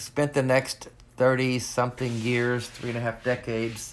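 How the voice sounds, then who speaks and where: Speaking at a fairly slow pace, a man has a Southern US accent. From US South, rural Northwest Arkansas. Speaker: former pastor with ALS, atheist advocate. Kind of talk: interview. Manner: halting.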